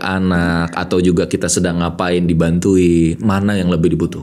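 With a quiet background, a man speaks at a moderate pace in a very deep, low pitch. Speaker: podcast host and motivational speaker; podcast host. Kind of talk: casual interview. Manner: energetic, fiery; animated. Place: studio. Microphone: studio mic.

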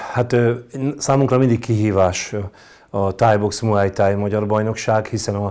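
In a dark, mellow tone, a man talks at a fairly slow pace with a fairly low pitch. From Hungary, Baja. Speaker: muay thai coach. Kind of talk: interview. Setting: studio. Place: studio. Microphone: lapel.

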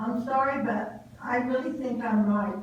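A woman talks at a fairly slow pace with a high pitch and fairly even intonation, with audible room echo and noticeable background noise. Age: 80s+. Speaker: public commenter at a school board meeting. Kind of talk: public comment. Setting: board meeting at a podium.

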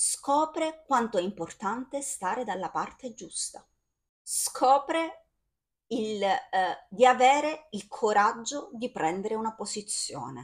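High-pitched speech from a woman, very slow with long, frequent pauses, very wide pitch swings and big swings in loudness, against a quiet background. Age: 40s. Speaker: video blogger / film commentator; video blogger, film commentator. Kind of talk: casual monologue to camera about a film. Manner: animated, enthusiastic. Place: home room. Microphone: phone near.

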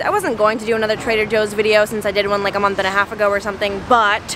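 Against music in the background, a woman speaks with a dry sound and no echo. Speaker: vlogger. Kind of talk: casual vlog chat. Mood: cheerful, then angry and upset. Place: street. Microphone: phone near.

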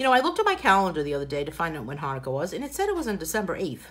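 A very fast, warm-toned voice in a Boston accent. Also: woman. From New England, US. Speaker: coloring book artist and tutor; tutor. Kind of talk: live coloring tutorial with viewer chat. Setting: live video stream at home, dogs in background. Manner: chatty, warm and informal. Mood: cheerful, joking. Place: home room. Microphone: phone near.

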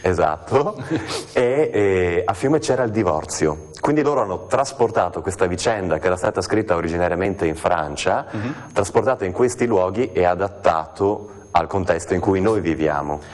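With a very deep, low pitch, a man speaks at a moderate pace using lively intonation. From Trieste, Italy. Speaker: stage actor. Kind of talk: TV interview answer. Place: studio. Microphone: lapel.

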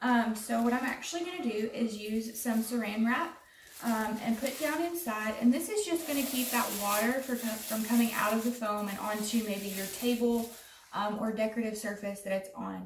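A woman speaks at a moderate pace, with noticeable background noise behind her. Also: ordinary pitch variation. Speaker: extension agent demonstrating crafts. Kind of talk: tutorial. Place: home room.

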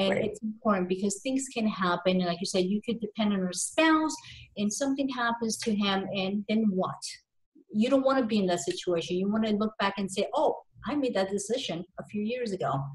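A woman talks at a fairly quick pace with ordinary pitch variation and a somewhat breathy voice against a quiet background. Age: 30s. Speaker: business and tax advisor, podcast host. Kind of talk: interview; conversational interview talk. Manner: halting, many fillers. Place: home room. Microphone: video call.

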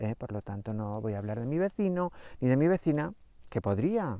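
A man speaks with a dark, mellow tone. The background is quiet, and the sound is dry with no echo. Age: 50s. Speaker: astrology coach. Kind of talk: spiritual astrology talk to camera. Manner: animated, chatty. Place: open country. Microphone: lapel.

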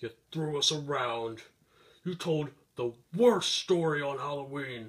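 A man doing a cartoonish character voice at a medium pitch. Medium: puppet show. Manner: indignant, melodramatic.

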